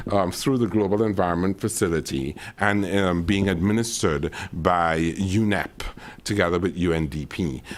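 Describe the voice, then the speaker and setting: A very deep, low-pitched man with a slight Caribbean accent, moderate pace and ordinary pitch variation. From Caribbean island. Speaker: climate adaptation expert, panelist. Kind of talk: panel discussion.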